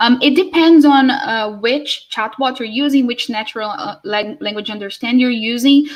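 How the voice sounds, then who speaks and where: The speaker talks with a Portuguese accent and hardly any pauses. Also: woman, high pitch for a woman, ordinary pitch variation, moderate pace. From Brazil. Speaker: conference speaker. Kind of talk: Q&A session. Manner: halting.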